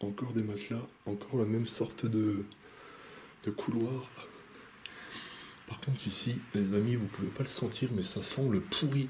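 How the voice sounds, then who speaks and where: Noticeable background noise sits under a man speaking at medium pitch with ordinary pitch variation. His pace is fairly slow, with long, frequent pauses. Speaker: urban explorer vlogger. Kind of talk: vlog narration while exploring. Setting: indoors in abandoned hotel. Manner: halting, hesitant.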